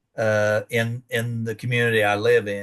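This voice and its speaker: The background is quiet. Intonation stays monotone and flat. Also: man. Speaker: extension educator. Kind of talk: lecture.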